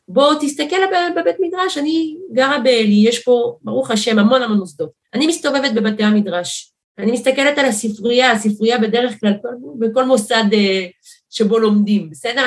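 A normal speaking voice from a woman, fairly high in pitch, with lively intonation at a moderate pace. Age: 40s. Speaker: politician, primary candidate. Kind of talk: interview.

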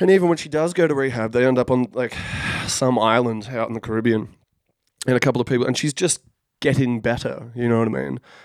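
A man in an Australian accent at a medium pitch and very fast pace, in a dry, close sound with no echo. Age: 30s. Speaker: podcast co-host. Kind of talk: casual chat.

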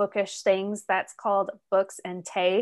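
A woman with an American accent talks at a very slow pace, her medium-pitched voice flat and monotone. The recording is very clean, with a silent background. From Arizona, US Southwest. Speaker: novelist and middle school teacher. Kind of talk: interview. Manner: loud, not soft-spoken.

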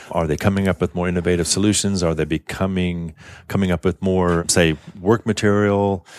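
With an American accent, a man speaks at a fairly quick pace in a very deep, low, monotone voice with flat intonation, the sound dry and close with no echo on a very clean recording with a silent background. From US South, New Orleans. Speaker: architect and design director. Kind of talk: interview conversation.

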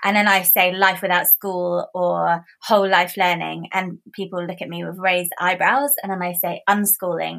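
A woman with a plain, everyday voice, medium in pitch, at a moderate pace with hardly any pauses and fairly even intonation. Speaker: author and home-education activist. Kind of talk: casual interview chat.

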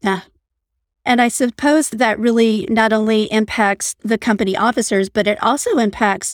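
The recording is very clean, with a silent background and a dry, close sound with no echo. A woman speaks with a fairly high pitch, ordinary pitch variation and an unremarkable speaking voice. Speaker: podcast host. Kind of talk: scripted intro and interview.

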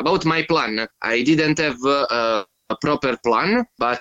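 In a dry, close sound with no echo, a man with an Italian accent speaks at a very slow pace with a fairly high pitch and a bright, sharp tone. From Italy. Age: 30s. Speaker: touring cyclist. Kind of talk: casual interview chat. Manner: halting, many fillers.

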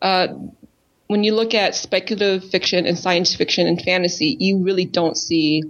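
Speaking with an American accent, a woman with an unremarkable speaking voice keeps a medium pitch, ordinary pitch variation and a moderate pace. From Minnesota. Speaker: spoken word poet. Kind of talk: casual chat.

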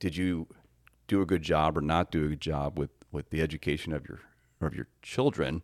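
This man's very deep, low voice carries vocal fry and ordinary pitch variation, moving at a fairly quick pace broken by long, frequent pauses, in a dry, close sound with no echo on a very clean recording with a silent background. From US Midwest, Northeast Ohio. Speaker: podcast co-host, homeschooling father. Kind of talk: casual conversation.

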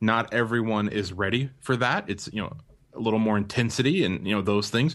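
A man's plain, everyday voice at a medium pitch, fairly quick pace and ordinary pitch variation over a quiet background. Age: 30s. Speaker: business guest speaker. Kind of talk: interview conversation.

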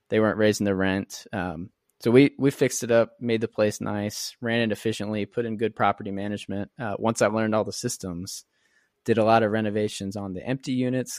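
On a very clean recording with a silent background, a man with an unremarkable speaking voice talks at a fairly quick pace, his fairly low pitch kept to fairly even intonation. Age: 20s. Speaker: real estate investor. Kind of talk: interview. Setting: podcast.

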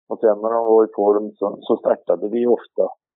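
A man's voice at a medium pitch. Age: 60s. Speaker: harness racing trainer. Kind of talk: interview.

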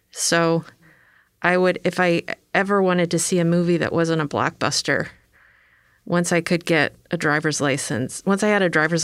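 A woman speaks at a moderate pace in a fairly low pitch, a plain, everyday voice on a very clean recording with a silent background. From western Maryland, near Sharpsburg. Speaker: costume designer. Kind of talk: casual chat. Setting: studio.

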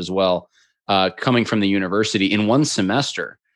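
Fairly even intonation from a man with an American accent, against a quiet background. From upstate New York. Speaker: podcast host and political commentator. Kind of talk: interview conversation.

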